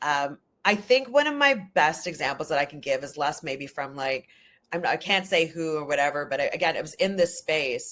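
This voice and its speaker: With a Canadian accent, a woman speaks in a very deep, low voice and an animated tone at a moderate pace on a very clean recording with a silent background. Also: ordinary pitch variation. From Canada, Ojibwe First Nation heritage. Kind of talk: podcast interview. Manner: loud.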